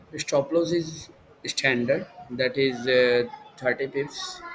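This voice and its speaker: A man with an Indian accent speaks very slowly at a fairly high pitch, with fairly even intonation. Noticeable background noise can be heard. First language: Hindi. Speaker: trading educator. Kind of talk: tutorial. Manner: halting, many fillers.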